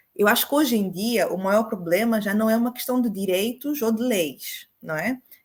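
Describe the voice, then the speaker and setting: Somewhat breathy, a woman speaks at a moderate pace with fairly high pitch and ordinary pitch variation. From Mozambique. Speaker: women's rights advocate. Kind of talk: panel discussion. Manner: hesitant, many fillers.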